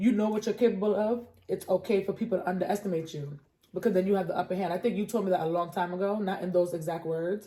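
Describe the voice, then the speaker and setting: Speaking with an American accent, a woman talks at a very fast pace at a medium pitch with fairly even intonation. Her voice is somewhat breathy, with a dark, mellow tone. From New York. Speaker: podcast co-host. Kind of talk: casual chat.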